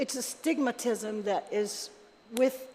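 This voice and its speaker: A woman speaks over noticeable background noise. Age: 60s. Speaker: member of the public testifying at a legislative hearing. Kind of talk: public testimony. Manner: conversational, many fillers.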